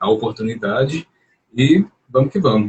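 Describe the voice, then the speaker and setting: Lively intonation runs through a man's medium-pitched, somewhat breathy voice. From Brazil, Belo Horizonte, Minas Gerais. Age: 30s. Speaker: psychology doctoral student and journalist. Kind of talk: live-stream interview. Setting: online live stream.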